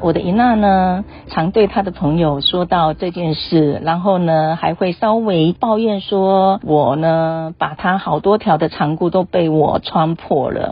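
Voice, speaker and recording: A woman's somewhat breathy voice, fairly low in pitch with ordinary pitch variation, very even loudness and a very slow pace with hardly any pauses. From Taiwan, Taitung (Chenggong), Amis village. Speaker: radio host. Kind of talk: scripted narration.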